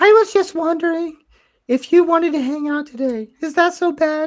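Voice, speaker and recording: A squeaky, put-on character voice at an extremely high pitch, delivered at a moderate pace. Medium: game stream.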